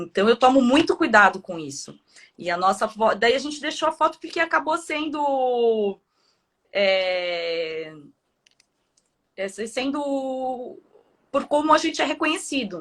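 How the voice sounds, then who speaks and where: Recorded very cleanly against a silent background, a woman speaks slowly in a high pitch with very wide pitch swings and long, frequent pauses. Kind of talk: casual chat.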